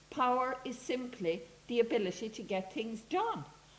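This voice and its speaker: A woman speaks at a high pitch. There is audible room echo. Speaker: academic speaker. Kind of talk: conference talk. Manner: animated.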